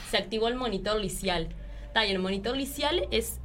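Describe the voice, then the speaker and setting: Medium-pitched speech from a woman at a moderate pace, with audible room echo. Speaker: secondary school teacher and union activist. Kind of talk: interview.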